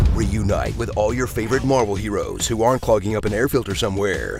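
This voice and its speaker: A man talks at a fairly quick pace. Behind him, music plays. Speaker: trailer voice actor. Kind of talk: movie trailer parody narration. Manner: sarcastic, comedic.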